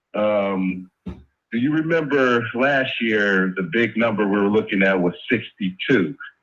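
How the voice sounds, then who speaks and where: This man has a normal speaking voice with a fairly low pitch and ordinary pitch variation. He talks at a fairly slow pace with hardly any pauses. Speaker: caller. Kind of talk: phone call conversation.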